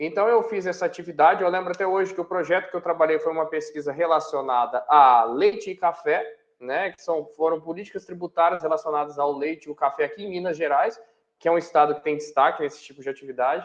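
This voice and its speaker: With a São Paulo countryside accent, a man talks at a very fast pace in a fairly high pitch, showing ordinary pitch variation and big swings in loudness. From interior of São Paulo state, Brazil. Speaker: university professor. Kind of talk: interview. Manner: hesitant, with fillers and self-corrections.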